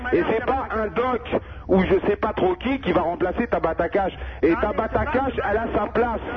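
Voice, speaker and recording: A high-pitched, animated man's voice with lively intonation at a moderate pace, with music in the background. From Paris, Kabyle family. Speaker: caller. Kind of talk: casual chat. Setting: phone call.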